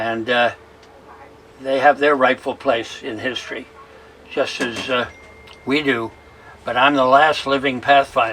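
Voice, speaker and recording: A man speaks at a medium pitch with monotone, flat intonation, at a fairly slow pace. Long, frequent pauses break up his speech, with noticeable background noise. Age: 90s. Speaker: war veteran. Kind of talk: interview.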